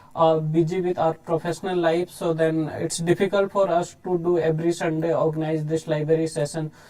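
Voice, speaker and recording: Someone with an Indian accent speaks at a moderate pace, with noticeable background noise behind them. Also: man. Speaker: photographer. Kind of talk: live talk with slides. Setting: live online session. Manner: halting, many fillers.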